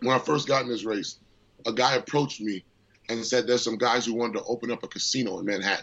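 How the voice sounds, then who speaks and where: Fairly even intonation from a man moving at a fairly quick pace. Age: 30s. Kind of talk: interview.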